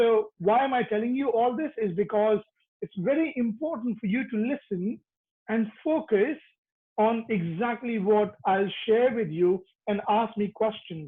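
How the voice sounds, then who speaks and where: With a high pitch and ordinary pitch variation, a man speaks at a fairly slow pace. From Dubai. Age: 30s. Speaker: business coach. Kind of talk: motivational seminar.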